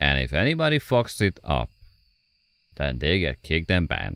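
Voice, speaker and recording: Very deep and low, this man's voice carries vocal fry and very wide pitch swings at a moderate pace. The sound is dry and close, with no echo. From Hungary. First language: Hungarian. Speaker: gaming streamer. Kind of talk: live stream chat.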